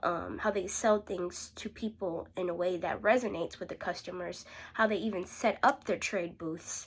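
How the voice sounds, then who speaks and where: This woman has a plain, everyday voice, medium in pitch with ordinary pitch variation. She keeps a moderate pace with hardly any pauses. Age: young. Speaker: aspiring sales rep preparing for interview. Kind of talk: interview practice tutorial. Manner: casual, self-correcting.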